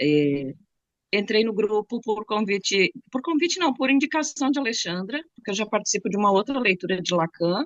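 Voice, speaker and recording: Speaking at a moderate speed, a woman with a fairly high voice lets her pitch range very widely. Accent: southern Brazilian. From Rio Grande do Sul, southern Brazil. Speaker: psychology professional studying Lacan. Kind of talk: casual self-introduction.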